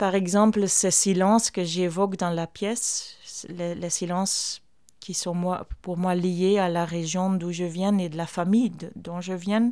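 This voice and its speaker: A woman's dark, mellow voice with a Flemish accent, very slow and monotone, in a very clean recording with a silent background. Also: medium pitch for a woman. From Flanders, Belgium. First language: Flemish dialect / Dutch (speaking French). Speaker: theatre artist and performer. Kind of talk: interview. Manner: halting.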